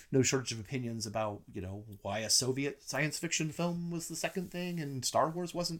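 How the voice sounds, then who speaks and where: The recording is very clean, with a silent background. A man with an unremarkable speaking voice talks at a moderate pace in a fairly high pitch. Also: lively intonation, hardly any pauses. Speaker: film critic. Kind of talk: casual chat. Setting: in-person recording at home.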